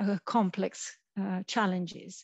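The voice is somewhat breathy. The sound is dry with no echo, over a quiet background. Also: woman. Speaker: presenter. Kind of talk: lecture. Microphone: headset.

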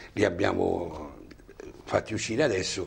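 A man's voice with vocal fry. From Altamura, Apulia, southern Italy; Apulia. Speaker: retired salesman and amateur poet; talk show guest. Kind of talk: TV interview; interview answer. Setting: TV studio. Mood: relaxed, smiling. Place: studio. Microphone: lapel.

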